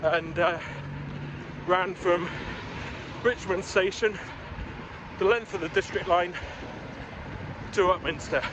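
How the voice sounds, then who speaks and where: Amid noticeable background noise, a man with a high pitch and fairly even intonation talks with long, frequent pauses. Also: fairly slow pace, very even loudness. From northern England, Newcastle. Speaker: running vlogger. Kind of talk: vlog narration while running. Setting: outdoors, running along a canal in London.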